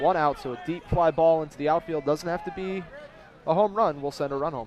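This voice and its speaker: Noticeable background noise sits behind a man talking at a very fast pace. His voice is fairly high, with ordinary pitch variation. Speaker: color commentator. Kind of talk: baseball color commentary. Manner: conversational, analytical.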